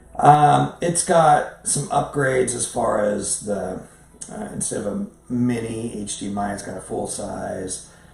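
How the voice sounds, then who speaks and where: A man with a medium-pitched voice speaks at a fairly slow pace, his loudness swinging widely. His intonation is lively, and room echo can be heard. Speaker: professional photographer; camera reviewer. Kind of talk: casual talk to camera, camera review. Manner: halting, many fillers and repeats. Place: home room.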